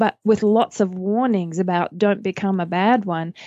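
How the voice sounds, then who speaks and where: A woman with an American accent, a dark, mellow tone, and a dry, close sound with no echo against a quiet background. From Australia. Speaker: pastor and author. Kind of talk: casual chat about scripture.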